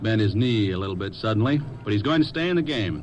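There is noticeable background noise behind this man's fairly low-pitched voice. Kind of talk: 1950s radio sports broadcast, color commentary and sponsor ads. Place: booth. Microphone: old recording.

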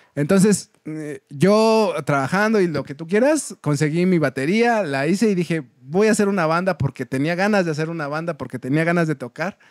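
Speaking at a moderate pace with a Mexican accent, a man with high pitch and ordinary pitch variation is heard in a dry recording with no echo against a quiet background. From Mexico. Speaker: folk punk musician; podcast guest. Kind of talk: casual chat. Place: studio.

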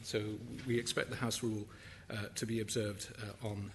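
Through light background noise, a man speaks at a moderate pace. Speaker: guest. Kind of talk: formal welcome speech. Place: hall. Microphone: podium.

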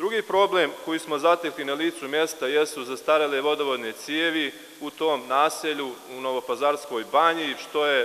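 Moderate pace and fairly even intonation from a man. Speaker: assembly councillor. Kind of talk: formal speech to assembly. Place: hall. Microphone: podium.

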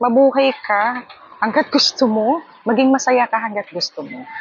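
Over noticeable background noise, a woman speaks at a moderate pace with a high voice and lively intonation. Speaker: vlogger and live streamer. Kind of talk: casual vlog talk to camera. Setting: outdoors in a hammock. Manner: animated, frequent laughter.

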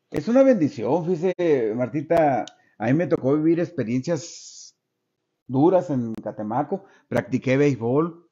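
Over a quiet background, a man speaks at a very slow pace. His pitch variation is ordinary. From Sonora, Mexico. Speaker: retired schoolteacher. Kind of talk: interview. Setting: interviewer's home. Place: home room. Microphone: studio mic.

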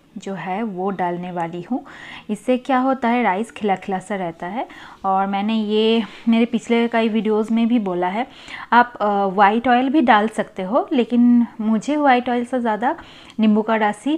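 Very slow speech from a woman, ordinary in its pitch variation. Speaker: home cooking vlogger. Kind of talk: casual vlog chat. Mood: relaxed and cheerful. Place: kitchen. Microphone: phone near.

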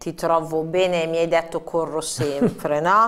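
A woman speaks at a fairly slow pace with a fairly low pitch. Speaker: TV presenter. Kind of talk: live TV interview. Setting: studio. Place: studio.

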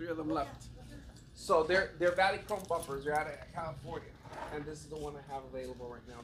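Against noticeable background noise, a man speaks at a very fast pace with fairly even intonation. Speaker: store salesman. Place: shop.

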